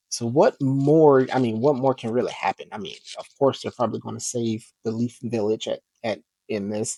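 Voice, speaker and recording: This man's voice has a dark, mellow tone at a medium pitch. He talks at a moderate pace, and the sound is dry and close with no echo. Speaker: comic book YouTuber. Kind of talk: casual vlog review. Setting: home recording at computer. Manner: monotone; quiet, not loud.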